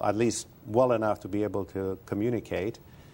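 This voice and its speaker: Speaking with a Romanian accent, a man keeps a moderate pace and fairly even intonation at a fairly low pitch. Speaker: retired advertising executive and author. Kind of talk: interview.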